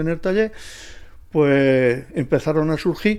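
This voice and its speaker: In a quiet setting, a man with a fairly high pitch and a dark, mellow tone speaks fairly slowly, his pitch varying in an ordinary way. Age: 70s. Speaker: retired mechanic, workshop owner. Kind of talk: interview. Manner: halting, with many fillers.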